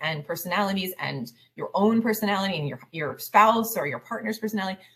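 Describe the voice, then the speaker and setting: An ordinary speaking voice from a woman, medium in pitch, with ordinary pitch variation. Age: 40s. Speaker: life coach for highly sensitive families. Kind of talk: interview.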